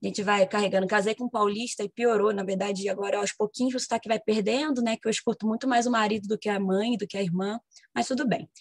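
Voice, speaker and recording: Rushing at a very fast pace with hardly any pauses, a woman keeps her fairly high pitch fairly even in a dry, close sound with no echo. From Brazil, Rio de Janeiro. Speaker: history teacher. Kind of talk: casual self-introduction; lecture.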